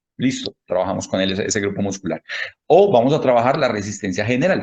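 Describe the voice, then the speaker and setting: With lively intonation and a somewhat breathy quality, a man speaks at a fairly quick pace. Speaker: handball fitness coach and lecturer. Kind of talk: lecture. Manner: fast. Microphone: connectivity problems.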